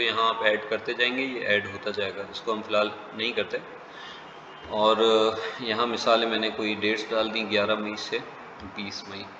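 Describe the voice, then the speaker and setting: A man speaks at a fairly slow pace, with audible room echo and noticeable background noise. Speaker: travel booking instructor. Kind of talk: software tutorial. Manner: hesitant with fillers.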